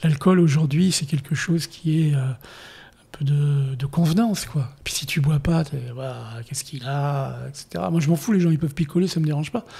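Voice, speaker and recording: A man's somewhat breathy, dark, mellow voice, fairly high in pitch with ordinary variation, at a moderate pace. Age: 70s. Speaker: war photographer. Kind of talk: interview. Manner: animated.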